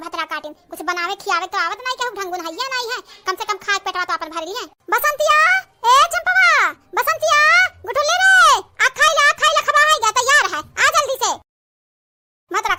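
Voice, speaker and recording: In a cartoonish character voice at an extremely high pitch, the speaker moves at a fairly quick pace broken by long, frequent pauses. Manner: scolding.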